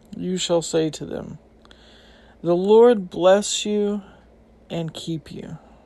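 A dark, mellow tone at a very slow pace, with ordinary pitch variation, big swings in loudness and long, frequent pauses. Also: woman, medium pitch for a woman. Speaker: Bible podcast host. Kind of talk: fervent prayer; Bible teaching monologue. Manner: earnest, heartfelt, reverent; conversational, slightly halting.

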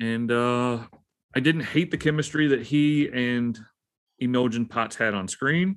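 A man speaks at a fairly slow pace. His is a plain, everyday voice at medium pitch. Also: ordinary pitch variation. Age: 30s. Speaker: podcast co-host, former Marine. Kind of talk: casual chat. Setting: basement.

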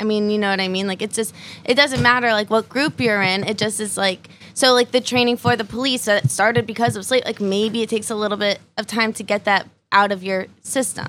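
A woman speaks in a plain, everyday voice, pitched fairly high. Her intonation stays fairly even. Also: fairly quick pace, very clean recording, silent background. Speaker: comedian. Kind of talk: casual panel chat.

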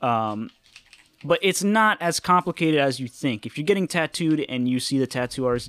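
A man in a plain, everyday voice with an American accent, lively intonation and a fairly quick pace. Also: dry, close sound with no echo. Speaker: tattoo artist. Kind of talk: casual chat. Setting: hanging out playing video games.

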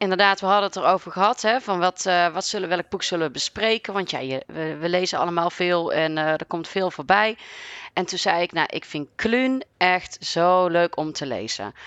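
Heard dry and close with no echo, a woman speaks at medium pitch in a plain, everyday voice, moving at a moderate pace with ordinary pitch variation. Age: 30s. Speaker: librarian. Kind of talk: casual conversation.

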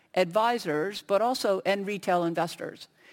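An ordinary speaking voice with an American accent comes through a very clean recording with a silent background, at a moderate pace with ordinary pitch variation. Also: woman. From United States. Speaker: industry researcher on a conference panel. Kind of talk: panel discussion.

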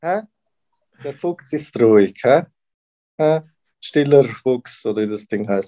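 A man with a Swiss accent, a dark, mellow tone and lively intonation, at a very slow pace with long, frequent pauses. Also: medium pitch for a man, dry, close sound with no echo. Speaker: podcast co-host. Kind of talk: casual chat.

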